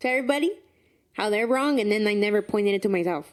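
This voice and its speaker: With a Spanish accent, a woman talks at a very fast pace. Her pitch is fairly high, with ordinary variation. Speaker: podcast co-host. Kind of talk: casual chat.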